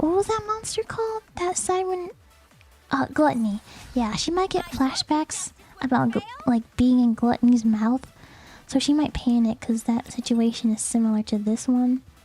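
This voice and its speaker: Music plays in the background as a woman speaks at a high pitch. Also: lively intonation, moderate pace. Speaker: gaming streamer. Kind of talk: casual live stream chat while gaming. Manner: casual, hesitant with fillers.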